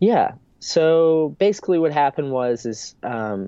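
A man at a very slow pace with very wide pitch swings. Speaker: surf brand founder. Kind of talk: casual interview chat. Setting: video call. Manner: laid-back surfer speech, filler words.

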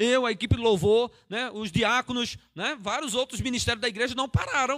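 In a dry, close recording with no echo, a man talks at a moderate pace in an extremely high pitch, his tone bright and sharp. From Pernambuco, Brazil. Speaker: pastor. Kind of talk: sermon. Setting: church livestream.

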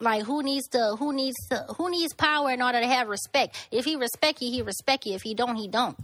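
In a very clean recording with a silent background, the speaker talks at a fairly quick pace with a Louisiana accent, ordinary pitch variation and hardly any pauses. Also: woman, high pitch for a woman. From Lafayette, Louisiana. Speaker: podcast guest. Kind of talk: casual chat. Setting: studio.

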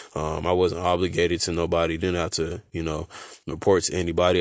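Very deep, low male mumbling in a monotone, flat intonation, with a quiet background. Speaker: podcast host. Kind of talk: casual monologue. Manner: halting.

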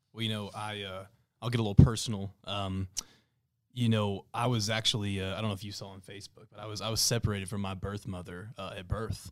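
A man with a Texan accent, fairly low-pitched and monotone, flat in intonation, racing at a very fast pace with big swings in loudness. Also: very clean recording, silent background. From Texas Panhandle (Amarillo area). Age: 20s. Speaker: small business owner. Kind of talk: interview podcast. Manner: halting, many fillers.

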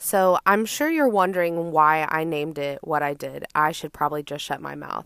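Speaking in an animated tone with an American accent, the voice keeps a moderate pace with hardly any pauses, ordinary pitch variation and big swings in loudness, in a dry, close sound with no echo. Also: woman, very deep, low pitch for a woman. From Austin, Texas. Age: 20s. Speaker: podcast host. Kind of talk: casual monologue.

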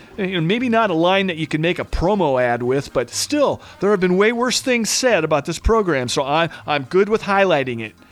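Over music in the background, a man with a high pitch talks at a moderate pace with very wide pitch swings and hardly any pauses. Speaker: radio host. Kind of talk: comedic radio show hosting, interview. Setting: studio.

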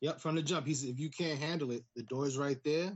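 With an American accent, a somewhat breathy man talks fairly quickly in a fairly high voice with ordinary pitch variation. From US Northeast. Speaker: pro wrestler. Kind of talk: casual chat.

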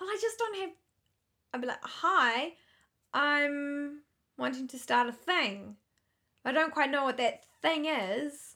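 A woman projects a raised, high-pitched voice with a bright, sharp tone and lively intonation. She goes at a very slow pace with long, frequent pauses. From South Africa, moved to New Zealand at eleven. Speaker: podcast co-host. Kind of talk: casual chat.

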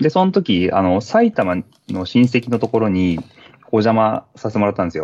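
A man with medium pitch and an ordinary speaking voice talks at a moderate pace with lively intonation, the sound dry and close with no echo. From Niigata, Japan. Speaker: school teacher and trail runner. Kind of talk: casual interview.

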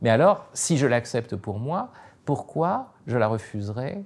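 A man with a medium-pitched voice talks at a fairly slow pace, his pitch swinging very widely. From France. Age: 50s. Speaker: philosopher and writer. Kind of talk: interview. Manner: hesitant, many fillers.

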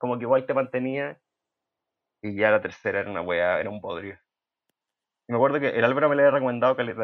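Man with a Chilean accent at medium pitch, very fast pace, long, frequent pauses, ordinary pitch variation and big swings in loudness. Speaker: podcast co-host. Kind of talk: casual chat. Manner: speaking quietly.

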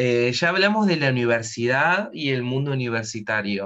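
Speaking at a fairly slow pace, a man with a medium-pitched voice uses lively intonation. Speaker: podcast host. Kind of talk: casual interview.

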